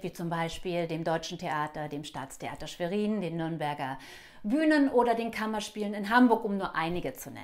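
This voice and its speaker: At a moderate pace, a woman speaks at a medium pitch with lively intonation over a quiet background. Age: 50s. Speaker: actress and acting coach; actress, acting coach. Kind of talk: self-introduction video. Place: home room. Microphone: lapel.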